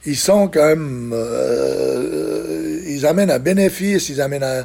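This is a man talking at a medium pitch. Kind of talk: interview. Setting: studio. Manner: halting.

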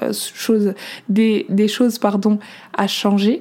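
A woman at medium pitch in a dark, mellow tone with monotone, flat intonation. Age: 20s. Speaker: wellness coach and podcaster. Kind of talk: personal monologue. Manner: hesitant, many fillers.

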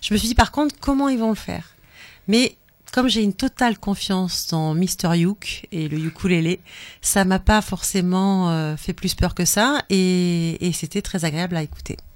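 With ordinary pitch variation, an ordinary speaking voice goes along at a fairly slow pace. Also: woman, medium pitch for a woman. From pied-noir family. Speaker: radio co-host. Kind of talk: casual chat. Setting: studio.

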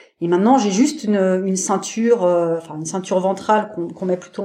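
A woman speaks at a fairly quick pace with a dark, mellow tone. Her pitch is medium, with ordinary variation. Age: 40s. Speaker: parasurfer, wheelchair user. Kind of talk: interview conversation. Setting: podcast interview. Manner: hesitant, many fillers.

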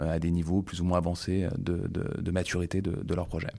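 The recording is very clean against a silent background. A man speaks with a very deep, low pitch. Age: 30s. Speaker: e-commerce platform program manager. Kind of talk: expert interview. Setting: office. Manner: hesitant with many fillers.

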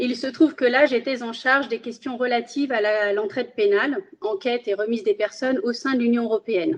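This woman speaks with a Spanish accent at a moderate pace. Her pitch is high. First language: Spanish (speaking French). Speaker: magistrate. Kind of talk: interview. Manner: formal.

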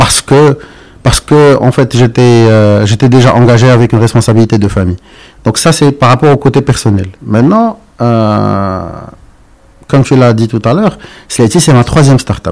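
Pausing long and often, a man speaks at a moderate pace and medium pitch, with ordinary pitch variation and very even loudness. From Morocco. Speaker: entrepreneur. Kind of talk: interview. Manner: halting.

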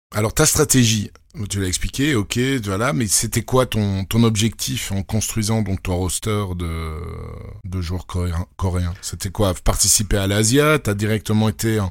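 A man's voice, fairly low in pitch, moves along fairly slowly with ordinary pitch variation. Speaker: podcast host. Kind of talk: podcast interview.

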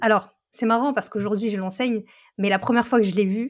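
In an ordinary speaking voice, a woman talks at a medium pitch with ordinary pitch variation. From northern France. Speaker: education content creator and tutor. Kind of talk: casual interview.

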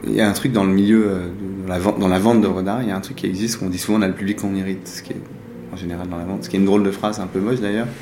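Amid noticeable background noise and audible room echo, a man with a fairly low pitch speaks at a very fast pace with fairly even intonation. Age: 40s. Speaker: art dealer and collector. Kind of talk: interview. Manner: halting.

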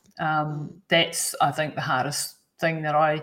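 This woman has a very deep, low pitch and a somewhat breathy voice. She speaks with a New Zealand accent. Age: 50s. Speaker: endurance athlete and health coach. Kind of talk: interview.

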